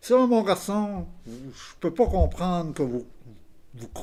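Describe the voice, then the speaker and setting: A man speaks very slowly, his pitch swinging very widely, on a very clean recording with a silent background. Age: 70s. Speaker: retired electrician. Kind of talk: interview with youths. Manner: halting.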